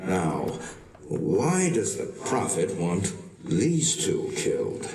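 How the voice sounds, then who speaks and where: A man performs in a put-on character voice at a very slow pace. Background noise is clearly audible. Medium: video game.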